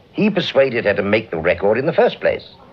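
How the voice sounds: A man's put-on character voice, fairly low in pitch with a slightly husky edge, very wide pitch swings and a fairly quick pace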